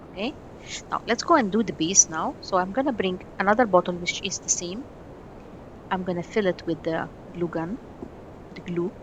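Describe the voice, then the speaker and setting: A woman speaks at a medium pitch and a moderate pace, with ordinary pitch variation. She leaves long, frequent pauses. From Egypt. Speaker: miniature craft artist. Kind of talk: tutorial. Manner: halting.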